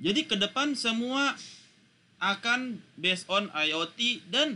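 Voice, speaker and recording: A man is speaking. His tone is bright and sharp. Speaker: university lecturer. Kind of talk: lecture.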